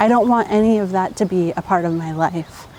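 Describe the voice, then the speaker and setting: A woman speaks at a fairly slow pace with ordinary pitch variation. Noticeable background noise runs underneath. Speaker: YouTuber. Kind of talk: casual vlog. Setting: grocery store; coffee shop. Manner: soft-spoken.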